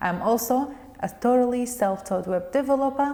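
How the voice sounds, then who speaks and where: With a Kurdish accent, a woman speaks at a high pitch with lively intonation. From Kurdistan region of Iraq, Koya. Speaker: web developer and interpreter. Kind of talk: pre-recorded video introduction.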